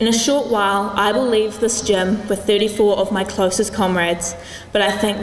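With fairly even intonation, a woman talks at a moderate pace amid audible room echo. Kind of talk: formal prepared speech. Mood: warm, lightly humorous, sentimental. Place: gym. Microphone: podium.

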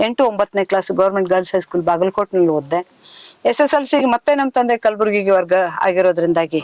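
A woman with an ordinary speaking voice talks at medium pitch, with lively intonation and very even loudness. The sound is dry and close with no echo. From northern Karnataka (Kalyana-Karnataka region). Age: 60s. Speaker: epigraphist and writer, retired official. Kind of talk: interview.

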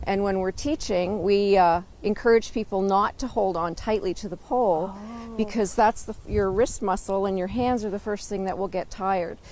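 A woman at a moderate pace with fairly even intonation, dry sound with no echo, and light background noise. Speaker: walking instructor. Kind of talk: interview answer. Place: forest. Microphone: lapel.

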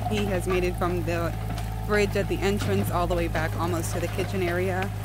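The recording is dry with no echo but has loud background noise. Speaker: vlogger filming partner. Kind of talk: casual vlog chat. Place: open country. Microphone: phone near.

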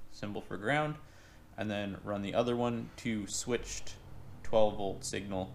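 A man keeps a moderate pace while light noise sits in the background. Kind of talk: tutorial. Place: garage. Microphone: phone near.

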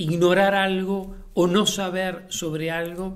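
This man's voice sits at a high pitch. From Uruguay. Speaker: playwright and theatre director. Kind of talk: interview monologue. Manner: halting, with many fillers and repetitions. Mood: warm, reflective.

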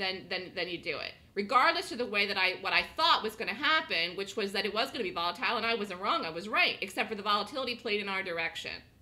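Noticeable background noise sits under this woman's animated delivery. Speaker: day trading instructor. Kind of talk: live trading room lecture. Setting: online trading room broadcast.

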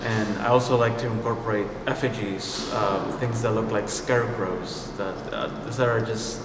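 Clear background noise and audible room echo frame the recording. A man speaks at a fairly low pitch with fairly even intonation. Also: moderate pace.

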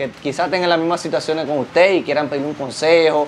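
A man talks at a very fast pace and a fairly high pitch. His intonation is monotone and flat, over light background noise. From Dominican Republic. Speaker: YouTube interviewer. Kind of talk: interview. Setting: guest's home. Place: home room. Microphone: lapel.

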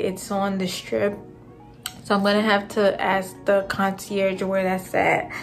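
Over faint background music, a woman speaks at a very slow pace with monotone, flat intonation. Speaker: travel vlogger. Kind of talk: casual vlog chat. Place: home room. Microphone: phone near.

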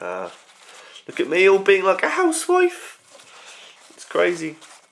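A man talks at a fairly slow pace with a British accent. Noticeable background noise is present. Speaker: vlogger. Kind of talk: casual vlog. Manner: rambling, hesitant.

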